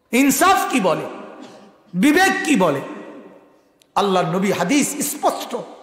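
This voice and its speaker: With an extremely high pitch and very wide pitch swings, a man speaks at very even loudness against a quiet background with audible room echo. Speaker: Islamic preacher. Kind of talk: sermon. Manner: fiery, impassioned. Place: stage. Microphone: podium.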